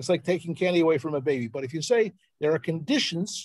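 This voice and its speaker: A man with a Philadelphia accent speaks in a high pitch with ordinary pitch variation. The background is quiet and the sound is dry with no echo. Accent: American, Philadelphia. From Philadelphia, US. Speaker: journalist and researcher; journalist. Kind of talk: presentation on a live video call. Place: home room. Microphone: video call.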